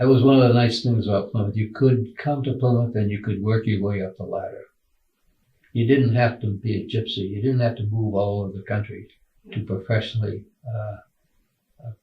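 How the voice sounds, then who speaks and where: The voice is somewhat breathy, with fairly even intonation. It moves at a fairly quick pace. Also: man. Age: 80s+. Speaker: retired college administrator. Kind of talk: interview. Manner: halting, many fillers.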